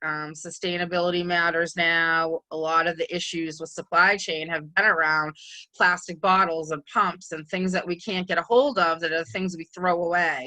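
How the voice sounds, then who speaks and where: A woman with a New England accent, fairly low pitch and a bright, sharp tone at a moderate pace, over a quiet background. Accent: New England (Boston-type). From New England, Massachusetts. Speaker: microbiologist and cleaning consultant. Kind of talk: webinar presentation. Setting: virtual conference session. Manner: casual, many filler ums.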